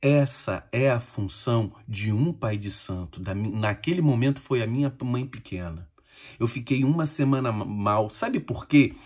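Against a quiet background, a man with a somewhat breathy voice talks at a fairly slow pace. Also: ordinary pitch variation. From Brazil. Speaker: Umbanda medium and spiritual teacher; spiritual teacher. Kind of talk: informal spiritual talk to followers. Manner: conversational, addresses listeners directly. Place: home room. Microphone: phone near.

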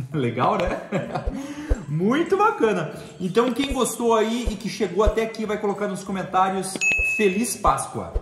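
Over noticeable background noise, a man speaks at a fairly slow pace with ordinary pitch variation and long, frequent pauses. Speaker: family channel host. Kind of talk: casual tutorial vlog chat. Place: kitchen. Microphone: phone near.

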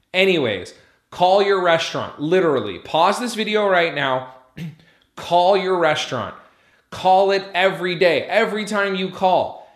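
A man with a high pitch and ordinary pitch variation speaks against a quiet background with audible room echo. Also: moderate pace. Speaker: restaurant business coach. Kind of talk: tutorial.

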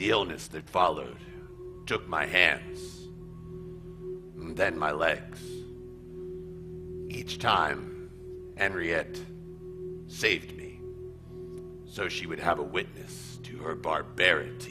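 There is clear background noise as a man with a very deep, low pitch speaks at a fairly slow pace. He leaves long, frequent pauses, and his loudness swings a lot. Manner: bitter, suspicious.

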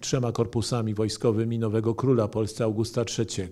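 The background here is quiet. A man's voice has a dark, mellow tone. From Poland. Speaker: historian and author; historian lecturer. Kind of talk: lecture. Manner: formal. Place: hall. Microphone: podium.

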